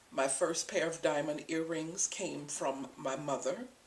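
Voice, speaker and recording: Her pitch is very deep and low, and her pace very slow. The woman speaks with an American accent. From Florida, USA. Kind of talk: interview answer.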